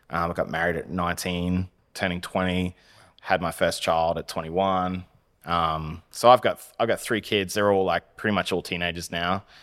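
Monotone, flat intonation with an Australian accent, in a very clean recording with a silent background. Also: man, very deep, low pitch for a man, moderate pace. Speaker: web design business owner. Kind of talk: casual chat.

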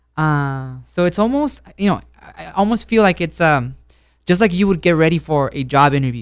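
The recording is very clean, with a silent background. A man speaks at a moderate pace and fairly high pitch, with lively intonation. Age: 20s. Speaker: dating show guest. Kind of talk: casual chat. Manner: halting.

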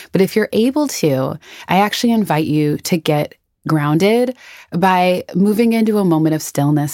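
A woman's dark, mellow, fairly low voice with an American accent, in a dry, close sound with no echo. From US Midwest, Minnesota. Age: 30s. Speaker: podcast host and founder. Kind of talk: guided meditation. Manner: soft-spoken, calm, gentle.

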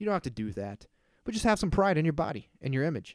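A plain, everyday voice moves at a fairly quick pace with ordinary pitch variation in a dry, close sound with no echo. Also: man. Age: 30s. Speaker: solo podcast host. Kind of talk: casual monologue. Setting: at home.

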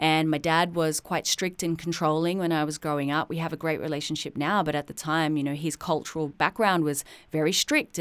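An Australian accent marks this woman's very deep, low voice as she talks at a very fast pace in a very clean recording with a silent background. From Australia (suburban Sydney). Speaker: podcast host, poet and musician. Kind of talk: personal storytelling monologue. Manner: animated.

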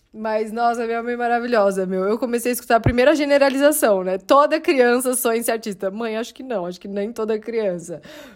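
Over noticeable background noise, a woman with a fairly high pitch talks in an animated tone with hardly any pauses, big swings in loudness, and ordinary pitch variation. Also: fairly quick pace. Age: 30s. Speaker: podcast host. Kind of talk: casual solo monologue.

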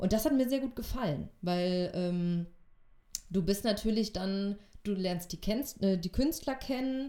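A woman speaks very slowly at a medium pitch. Her tone is dark and mellow, with lively intonation. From Essen, Ruhr area, Germany. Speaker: theatre costume assistant. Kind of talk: casual interview.

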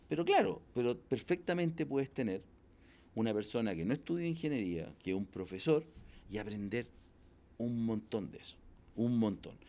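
A man with a Chilean accent speaks at a medium pitch and moderate pace, in a dark, mellow tone. His delivery has very wide pitch swings, big swings in loudness and long, frequent pauses. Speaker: entrepreneur and executive coach. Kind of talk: casual interview. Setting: in-person interview.

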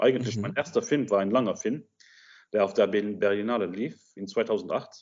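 Moderate-paced speech from a man, fairly low in pitch with ordinary pitch variation. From Luxembourg. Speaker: film director. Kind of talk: interview. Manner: halting.

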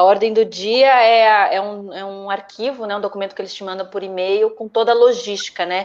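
Noticeable background noise sits behind a woman speaking. Her pitch is medium and her pace moderate. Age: 30s. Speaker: actress. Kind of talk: casual interview chat.

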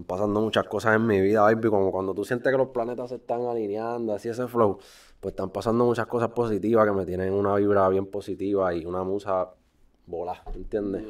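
A man's fairly low voice, very fast and with fairly even intonation, over a quiet background. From Puerto Rico, Río Grande. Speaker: musician. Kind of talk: casual chat.

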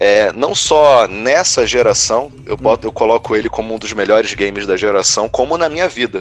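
A man talks at a moderate pace in a normal speaking voice. His medium pitch carries lively intonation. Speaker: gaming youtuber. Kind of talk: casual chat.

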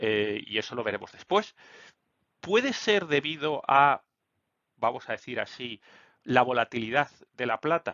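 A man speaks with lively intonation. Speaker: finance YouTuber. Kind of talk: solo market commentary video. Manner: hesitant, many fillers.

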